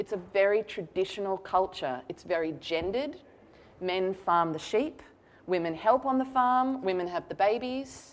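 A woman with an Australian accent, an animated tone, lively intonation and a moderate pace. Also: medium pitch for a woman. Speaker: novelist. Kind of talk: author talk. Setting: stage with audience.

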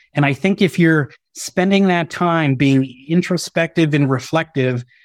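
A man with an ordinary speaking voice, fairly high in pitch, with ordinary pitch variation and a moderate pace, dry and close with no echo, on a very clean recording with a silent background. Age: 40s. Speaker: business executive. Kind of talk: interview.

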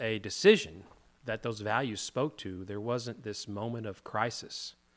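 A plain, everyday voice with an American accent at a fairly slow pace, on a very clean recording with a silent background. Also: man. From US South, Hot Springs, Arkansas. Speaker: co-host, men's group leader. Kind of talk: casual discussion on faith.

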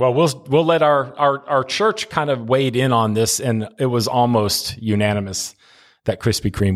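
Recorded very cleanly against a silent background, a man uses an ordinary speaking voice at a moderate pace with ordinary pitch variation. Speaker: senior pastor. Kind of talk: casual chat.

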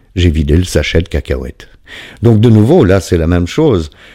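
Using lively intonation, a man with a very deep, low voice and a dark, mellow tone speaks at a moderate pace. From Belgium. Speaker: podcast host, recovering addict. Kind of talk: monologue reading listener testimonies. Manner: hesitant, many fillers.

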